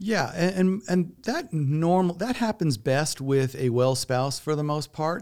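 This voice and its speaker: On a very clean recording with a silent background, a man uses a plain, everyday voice, fairly high in pitch, speaking at a fairly slow pace with lively intonation and hardly any pauses. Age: 50s. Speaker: elder law attorney. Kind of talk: interview.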